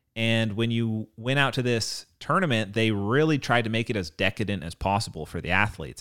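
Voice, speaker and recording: A fairly low-voiced man, animated and fairly quick, with lively intonation, on a very clean recording with a silent background. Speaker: podcast co-host. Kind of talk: casual podcast banter. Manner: animated, joking.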